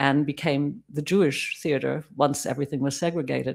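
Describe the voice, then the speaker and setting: Her pitch is very deep and low for a woman, and she speaks at a moderate pace. The recording is very clean, with a silent background. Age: 70s. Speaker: Holocaust survivor's daughter giving testimony. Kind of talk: memorial talk. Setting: synagogue service with audience. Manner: halting.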